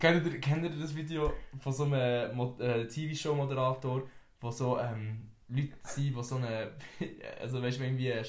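A man speaks at a medium pitch and a fairly slow pace, his intonation fairly even, with audible room echo around him. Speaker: podcast host. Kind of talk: casual chat.

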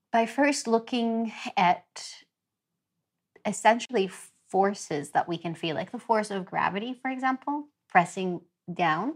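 Very slowly, a woman speaks in a fairly high pitch with lively intonation. The recording is very clean, with a silent background. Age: 30s. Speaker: yoga teacher. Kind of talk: casual interview.

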